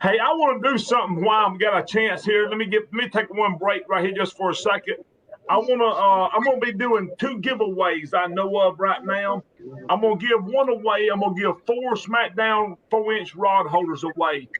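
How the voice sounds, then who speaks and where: A man speaks with a strong Southern US accent and a high pitch. His pace is moderate, with ordinary pitch variation. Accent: strong Southern accent, taken for Cajun. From South Alabama. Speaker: fishing show host. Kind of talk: live stream chat. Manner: casual, halting with fillers.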